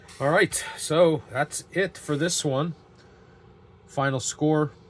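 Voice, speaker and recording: Noticeable background noise sits behind a man's voice. He speaks at a very slow pace with fairly even intonation. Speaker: tabletop game YouTuber. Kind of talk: solo tabletop game playthrough commentary; video outro. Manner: halting, with fillers.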